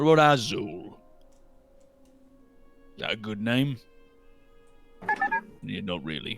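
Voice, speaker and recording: Against faint music in the background, a man in a put-on character voice speaks at medium pitch and a moderate pace, with long, frequent pauses. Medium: actual play. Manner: gruff, blunt, says aye often.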